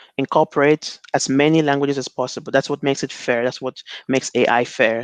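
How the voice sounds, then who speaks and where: The speaker has a Nigerian accent. The intonation stays fairly even. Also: man. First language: Igbo. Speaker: NLP researcher. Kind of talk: conference talk. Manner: halting, many fillers and repetitions.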